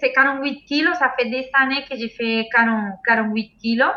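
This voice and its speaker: With a Spanish accent, a woman speaks at a very slow pace in a high pitch. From Venezuela. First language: Spanish (speaking French). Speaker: sambo world champion athlete. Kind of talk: casual interview. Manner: halting. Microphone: laggy connection.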